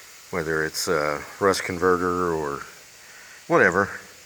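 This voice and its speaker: A man's very deep, low voice in a monotone, flat intonation at a very slow pace, with noticeable background noise and audible room echo. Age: 60s. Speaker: DIY car restorer. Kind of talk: casual tutorial vlog. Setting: garage. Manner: hesitant, many fillers.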